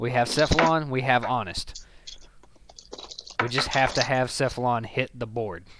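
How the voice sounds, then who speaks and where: Noticeable background noise sits behind a speaker with a Southern US accent who talks at a moderate pace. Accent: Southern American. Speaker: gaming streamer. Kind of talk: casual chat.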